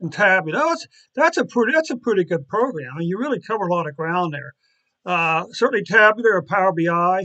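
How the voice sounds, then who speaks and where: Against a quiet background, a man talks at a very fast pace in a raised, projected, high-pitched voice with a bright, sharp tone and lively intonation. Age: 60s. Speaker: data analytics streamer. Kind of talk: live stream chat. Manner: halting.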